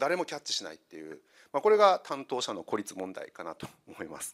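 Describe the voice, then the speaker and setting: A man races along at a very fast pace, and the background is quiet. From Kyushu, Saga; Kyushu, Japan. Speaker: consultant; presenter. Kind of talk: lecture. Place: hall. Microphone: handheld.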